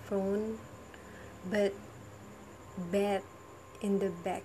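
A woman speaks very slowly at medium pitch in a dark, mellow tone. Her delivery is somewhat breathy and monotone, with flat intonation. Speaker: university student. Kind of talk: monologue vlog. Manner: halting; laughs often.

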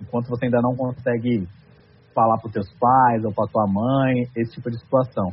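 Talking at a fairly quick pace, a man has an ordinary speaking voice at a medium pitch. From southern Brazil, Santa Catarina. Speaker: nutrition content creator. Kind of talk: podcast conversation.

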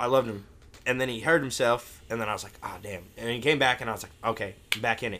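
An American-accented man speaks at a very fast pace, with medium pitch and a bright, sharp tone. His intonation is fairly even, while his loudness swings widely. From US Midwest, St. Louis area. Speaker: podcast panelist. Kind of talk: casual chat.

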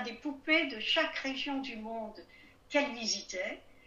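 Amid noticeable background noise and audible room echo, a woman with a high pitch uses a raised, projected voice, speaking fairly slowly with ordinary pitch variation. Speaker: writer, historian and retired diplomat. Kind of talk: interview.

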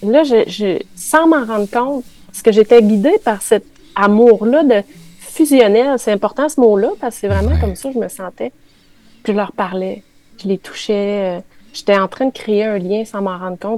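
With a Quebec accent, a dark, mellow voice speaks at a moderate pace with big swings in loudness. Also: woman. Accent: Québécois French. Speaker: spiritual columnist. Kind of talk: radio chronicle on spirituality. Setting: radio studio with live chat.

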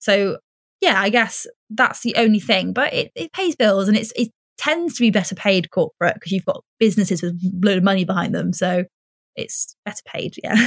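Close and dry, the sound carries no echo. The somewhat breathy voice moves along at a fairly quick pace. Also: woman. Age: 20s. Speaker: presenter. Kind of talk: casual chat.

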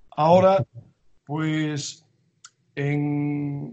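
His pitch sits fairly high. The man's voice has a somewhat breathy quality. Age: 70s. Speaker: strength and conditioning coach. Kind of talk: interview.

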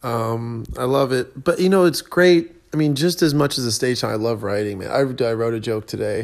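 A man with a plain, everyday voice speaks at medium pitch and a moderate pace. His intonation is lively, and he hardly pauses at all. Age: 20s. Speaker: podcast host, tennis coach and stand-up comedian. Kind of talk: casual solo monologue. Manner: casual, filler-heavy with frequent ums.

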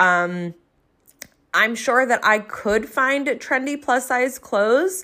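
A woman talks at a very slow pace with lively intonation and a bright, sharp tone, in a South Jersey accent. The recording is very clean, with a silent background. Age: 30s. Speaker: podcast host, entrepreneur and coach. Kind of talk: solo podcast monologue, casual and conversational.

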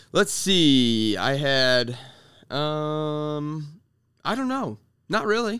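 A man with an American accent talks at a very slow pace, leaving long, frequent pauses. His fairly high voice has a bright, sharp tone and very wide pitch swings. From Iowa, US Midwest. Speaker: podcast co-host. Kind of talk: casual chat.

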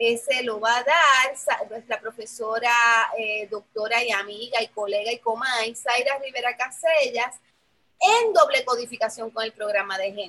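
A woman speaks at a fairly slow pace in an ordinary speaking voice. Her pitch is fairly high, with ordinary variation. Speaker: professor and program coordinator. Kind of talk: casual chat.

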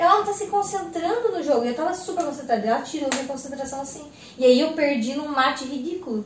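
In a room with audible echo and noticeable background noise, a woman with a high pitch speaks very fast, her tone animated and her intonation lively. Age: 20s. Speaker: podcast host. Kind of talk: casual chat. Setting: at home.

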